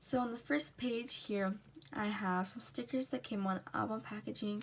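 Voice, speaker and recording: A somewhat breathy woman's voice with lively intonation at a moderate pace. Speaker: K-pop journaling YouTuber. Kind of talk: casual flip-through tutorial.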